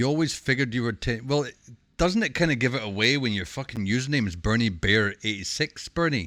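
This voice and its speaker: On a very clean recording with a silent background, a man with a medium pitch and a bright, sharp tone speaks at a moderate pace with lively intonation. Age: 40s. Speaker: streamer. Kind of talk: casual chat. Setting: live stream.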